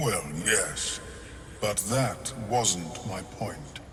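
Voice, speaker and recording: A man speaks in a put-on character voice at a medium pitch. Clear background noise is present. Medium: video game. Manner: clinical, detached.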